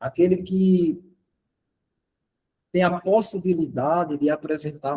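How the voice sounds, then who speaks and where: A dark, mellow tone from a man with a fairly high pitch. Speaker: workshop presenter, math educator. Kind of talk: lecture.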